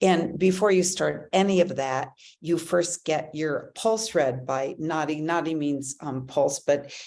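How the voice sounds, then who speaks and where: A woman with very deep, low pitch and vocal fry, fairly slow, fairly even in intonation, over a quiet background. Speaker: wellness show host. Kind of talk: casual talk to camera. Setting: livestream from an ashram. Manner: many fillers and hesitations.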